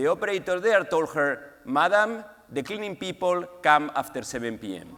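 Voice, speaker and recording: High-pitched man with a strong Spanish accent, lively intonation, big swings in loudness and a moderate pace. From Spain, Valencia. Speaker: pharmaceutical executive, award honoree. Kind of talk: award acceptance speech. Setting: stage with audience.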